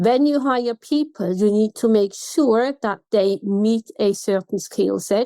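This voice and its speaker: A woman's fairly high, dark and mellow voice at a very slow pace, with a Swiss German accent, in a dry, close sound with no echo. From Switzerland. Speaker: customer experience consultant. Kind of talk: podcast interview.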